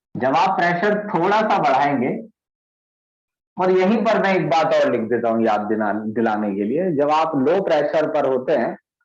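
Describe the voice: A man's fairly high voice with lively intonation at a moderate pace, in strong room echo.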